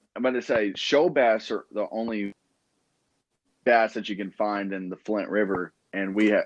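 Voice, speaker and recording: A man with a fairly low pitch and fairly even intonation speaks at a moderate pace, the sound dry and close with no echo against a quiet background. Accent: Southern US. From South Georgia, US South. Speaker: fishing podcast host. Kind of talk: casual chat.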